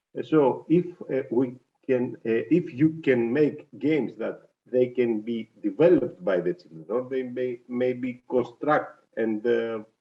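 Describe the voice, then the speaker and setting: A man's medium-pitched voice with a non-native accent, fairly slow in pace, with ordinary pitch variation. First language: not English. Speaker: audience member asking a question. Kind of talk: question from audience. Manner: halting.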